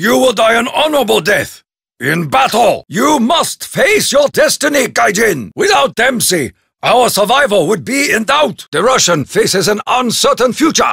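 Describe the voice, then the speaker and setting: It's a put-on character voice from a man. The pitch is extremely high. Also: moderate pace. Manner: formal, solemn.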